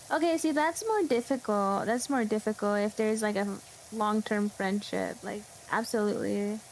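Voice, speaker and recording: This woman speaks with an American accent. Her pace is moderate. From California. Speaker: vtuber game streamer. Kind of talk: casual chat while gaming, reading chat. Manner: loud.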